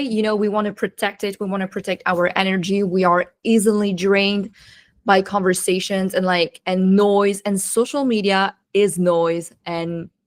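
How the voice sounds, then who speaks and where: A woman with a non-native accent is heard in a very clean recording with a silent background. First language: not English. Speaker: marketing strategist and coach. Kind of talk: podcast interview.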